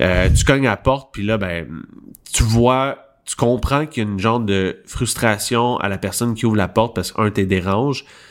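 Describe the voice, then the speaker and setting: A voice with a Quebec accent on a very clean recording with a silent background. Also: man, medium pitch for a man, ordinary pitch variation, moderate pace. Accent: Québécois French. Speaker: podcast co-host. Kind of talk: casual chat.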